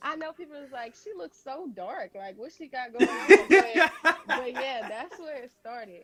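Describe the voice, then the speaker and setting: This woman's high voice makes very wide pitch swings. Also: moderate pace, big swings in loudness. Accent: Southern US. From Louisiana. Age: 20s. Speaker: beauty entrepreneur. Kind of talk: interview answer. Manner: casual, chatty.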